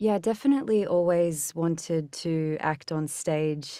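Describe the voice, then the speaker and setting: A dark, mellow tone with ordinary pitch variation moves at a fairly slow pace on a very clean recording with a silent background. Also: woman. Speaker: voice actress. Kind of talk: casual interview.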